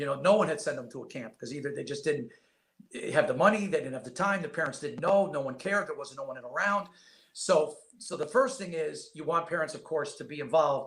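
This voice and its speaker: With a New York accent, a man speaks fairly quickly in a fairly high voice. His intonation is lively, and his loudness swings a lot. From upstate New York. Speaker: basketball scout and former coach. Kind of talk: podcast interview. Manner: fast.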